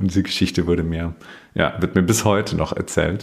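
With a slight Bavarian accent, a man speaks in a very deep, low voice. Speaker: communication trainer. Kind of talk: interview conversation.

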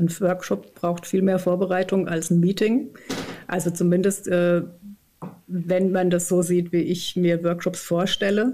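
A woman speaks at a very slow pace with a dark, mellow tone and very even loudness. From southern Odenwald, Germany. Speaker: organisational consultant and author. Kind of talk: casual interview.

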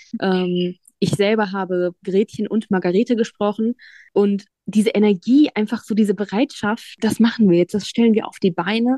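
Medium in pitch with a dark, mellow tone, a woman speaks at a moderate pace with ordinary pitch variation. The sound is dry and close, with no echo. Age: 20s. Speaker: psychology student, blind. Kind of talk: interview. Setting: video call.

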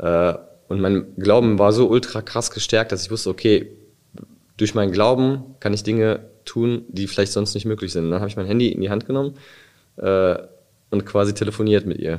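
The man's voice sits fairly low in pitch, and he speaks at a moderate pace with fairly even intonation. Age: 30s. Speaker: near-death experience survivor. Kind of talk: testimony. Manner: halting.

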